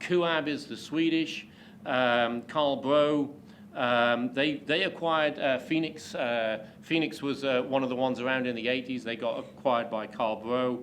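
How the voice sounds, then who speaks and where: Audible room echo surrounds a man with a British accent and a medium-pitched voice, speaking at a fairly slow pace. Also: ordinary pitch variation. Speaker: pavement engineering expert, invited speaker. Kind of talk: lecture. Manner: hesitant, many fillers.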